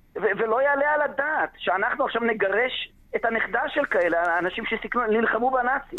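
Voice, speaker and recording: Lively intonation marks this man's extremely high-pitched voice. He keeps a moderate pace with very even loudness and hardly any pauses. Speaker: lawyer. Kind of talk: radio interview. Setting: phone call. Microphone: bad connection, dropping out.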